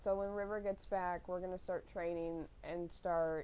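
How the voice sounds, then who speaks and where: A woman speaking quietly at a moderate pace. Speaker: gaming streamer. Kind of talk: casual chat. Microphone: mic too quiet.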